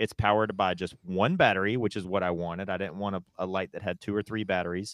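A man with a Southern US accent talks at a very fast pace. His pitch is very deep and low, and his intonation is monotone and flat. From US South, North Carolina. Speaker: podcast co-host. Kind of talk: casual chat.

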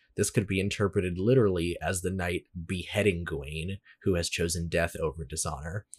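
Against a quiet background, the speaker talks at a fairly quick pace with fairly even intonation and a somewhat breathy sound. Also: man, very deep, low pitch for a man. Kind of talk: casual chat.

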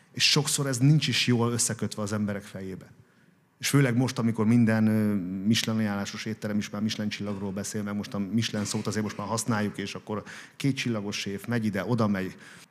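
A man at a very fast pace, fairly low in pitch, with fairly even intonation, in a very clean recording with a silent background. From Hungary, Békés county. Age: 40s. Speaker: restaurant owner and businessman. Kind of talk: interview before live audience. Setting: café event with audience.

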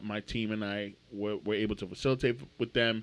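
In a quiet background, a man speaks at a fairly low pitch. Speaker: podcast host. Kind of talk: casual chat. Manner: animated.

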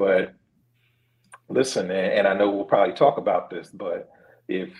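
A man talks with a Philadelphia accent. His pace is fairly slow. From Philadelphia (West Philly). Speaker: sports journalist. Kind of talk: casual interview.

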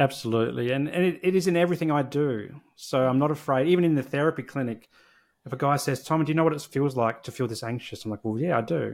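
A man with an Australian accent, fairly high in pitch, very fast, with ordinary pitch variation, on a very clean recording with a silent background. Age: 40s. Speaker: social worker and therapy practice founder. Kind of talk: casual interview.

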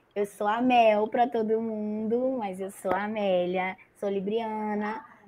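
A woman's fairly high voice at a very slow pace with fairly even intonation. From Maranhão, Brazil. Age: 20s. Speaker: podcast host leading the episode.

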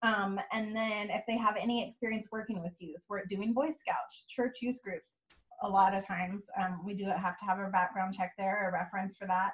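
Speaking with an American accent, a woman has a medium pitch, a somewhat breathy quality and fairly even intonation. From California, Bay Area. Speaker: nonprofit youth program worker. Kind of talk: casual chat. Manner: fast.

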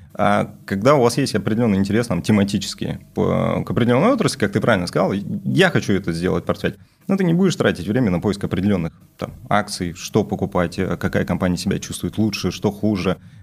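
A man speaks at a very fast pace. His fairly low pitch shows ordinary variation. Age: young. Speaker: stockbroker. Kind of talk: casual chat.

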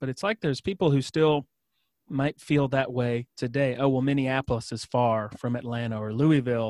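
In a very clean recording with a silent background and a dry, close sound without echo, a man with a normal speaking voice talks at a moderate pace and medium pitch with ordinary pitch variation. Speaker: podcast host. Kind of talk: casual interview conversation.

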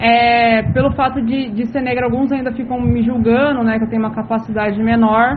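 A woman's fairly high voice in a flat monotone, with noticeable background noise and audible room echo. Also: moderate pace. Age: 30s. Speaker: city councillor. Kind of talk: interview.

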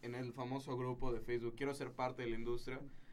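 At a fairly quick pace, a man with a plain, everyday voice speaks at a medium pitch with ordinary pitch variation. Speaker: filmmaker. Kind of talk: casual chat. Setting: studio.

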